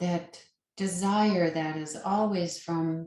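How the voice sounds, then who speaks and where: Very slow speech from a woman with a fairly low pitch and ordinary pitch variation. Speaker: yoga nidra meditation guide. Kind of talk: guided meditation. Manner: slow, soft-spoken.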